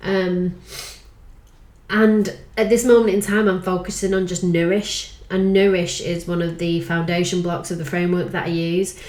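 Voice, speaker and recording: Here a woman speaks at a moderate pace. Audible room echo surrounds her voice. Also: medium pitch for a woman. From northern England, Manchester/Lancashire. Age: 40s. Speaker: life coach. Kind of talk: casual vlog monologue.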